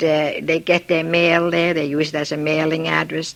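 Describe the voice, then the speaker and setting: Noticeable background noise sits behind a woman speaking at a moderate pace. Her intonation is monotone and flat. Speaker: immigrant interviewee. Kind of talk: oral history interview.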